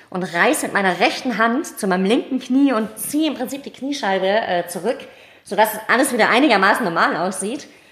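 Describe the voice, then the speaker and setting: The speech moves at a fairly quick clip with lively intonation. Background noise is noticeable throughout. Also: woman, fairly high pitch for a woman. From Tübingen, southwest Germany. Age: 30s. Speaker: amateur athlete. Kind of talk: interview. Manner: hesitant with many fillers.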